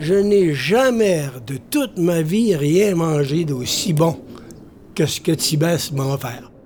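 Against noticeable background noise, a man with a high pitch and lively intonation speaks at a very slow pace. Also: long, frequent pauses. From Quebec, North Shore (Baie-Comeau). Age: 80s+. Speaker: storyteller. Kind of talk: storytelling.

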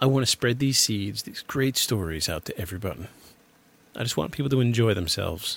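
A man's medium-pitched, somewhat breathy voice with an American accent, lively intonation and a fairly quick pace. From Michigan. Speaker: podcast host. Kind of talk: scripted narration. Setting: home recording in an apartment.

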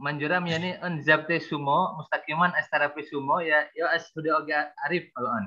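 An unremarkable speaking voice from a man, fairly high in pitch, at a moderate pace with fairly even intonation. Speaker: class coordinator. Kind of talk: casual chat. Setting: video call.

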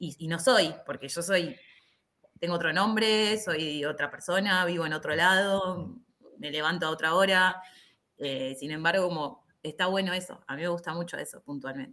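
This woman has a bright, sharp tone and a fairly low pitch. She speaks at a moderate pace with ordinary pitch variation. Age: 30s. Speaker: karate instructor. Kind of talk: casual chat.

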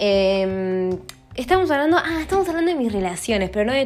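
A woman with a Rioplatense accent, animated in tone, at a fairly quick pace over noticeable background noise. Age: 30s. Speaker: podcaster. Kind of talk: casual monologue. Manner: fast.

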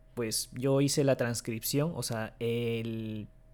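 A man speaks with a non-native accent and a dark, mellow tone. The recording is very clean, with a silent background. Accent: non-native Spanish, occasional grammar slips. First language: Japanese (speaking Spanish). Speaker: podcast host. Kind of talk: casual chat.

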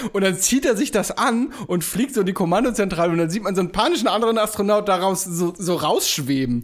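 A man's high, animated voice at a very fast pace, with hardly any pauses and very even loudness. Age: 30s. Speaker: podcast co-host. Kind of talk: casual chat.

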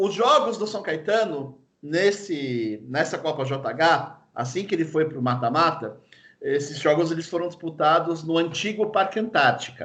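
This is an ordinary speaking voice at a fairly slow pace with lively intonation. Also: man. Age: 30s. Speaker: football fan guest. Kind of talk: casual chat.

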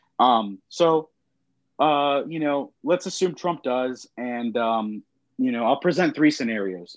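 A man uses a normal speaking voice at medium pitch with ordinary pitch variation, against a quiet background. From Texas, Austin. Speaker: architecture student discussing politics. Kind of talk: casual chat.

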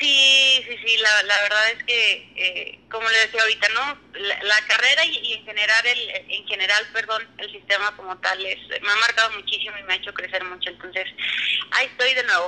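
Over noticeable background noise, a woman talks at a moderate pace. Her fairly high voice has ordinary pitch variation. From Mexico, Durango. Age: 20s. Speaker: business engineer. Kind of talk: casual chat. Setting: remote call.

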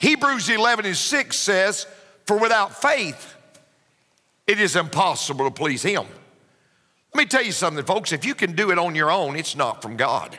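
Raising and projecting his voice, a man with a Southern US accent speaks at a moderate pace in a high pitch with a bright, sharp tone, very wide pitch swings and long, frequent pauses. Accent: Southern US (Georgia). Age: 50s. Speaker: pastor. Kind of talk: sermon.

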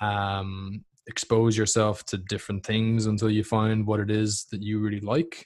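A man with an Irish accent and a fairly low pitch speaks at a moderate pace with monotone, flat intonation, in a very clean recording with a silent background. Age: 20s. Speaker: fitness coach and podcast host. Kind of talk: casual interview.

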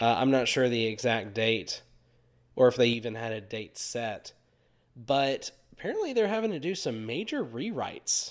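Speaking with a Southern US accent, a man uses medium pitch and ordinary pitch variation. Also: moderate pace. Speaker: podcast co-host. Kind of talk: casual chat.

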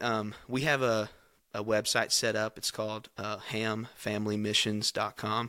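In a Kentucky accent, a man with a medium pitch and a bright, sharp tone is heard on a very clean recording with a silent background. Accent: Kentucky Southern US. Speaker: youth pastor. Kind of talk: casual chat.

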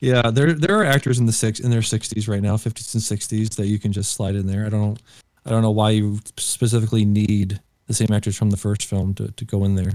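Fairly quick in pace, a man uses an unremarkable speaking voice with fairly low pitch and fairly even intonation. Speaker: podcast host. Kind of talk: casual chat.

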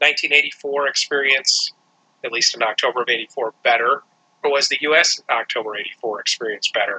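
A man with an American accent at a moderate pace, in a dry, close recording with no echo. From United States. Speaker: music podcast co-host. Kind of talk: casual chat.

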